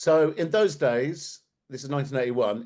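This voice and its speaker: This man talks at a moderate pace in a fairly high pitch, with a southern English accent. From England, Bromley (south-east London). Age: 60s. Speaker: activist speaker. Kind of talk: talk to an audience. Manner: animated.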